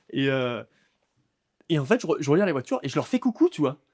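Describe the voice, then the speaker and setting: Fairly quick speech from a man with a fairly high pitch, in a dry, close sound with no echo and a very clean recording with a silent background. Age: 20s. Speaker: stand-up comedian. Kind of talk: interview answer. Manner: casual, conversational.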